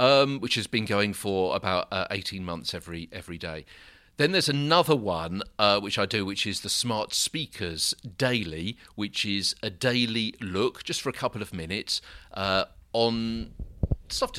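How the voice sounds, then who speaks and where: A man's bright, sharp tone with a British accent, fairly low pitch, moderate pace and ordinary pitch variation. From UK. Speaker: broadcaster and social media producer. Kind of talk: interview. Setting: hotel room.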